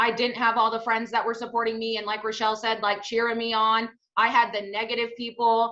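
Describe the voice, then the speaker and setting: Loud and energetic, a woman speaks at a fairly quick pace in a bright, sharp tone. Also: fairly high pitch for a woman. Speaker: network marketing team leader. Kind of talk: testimony. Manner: loud, energetic.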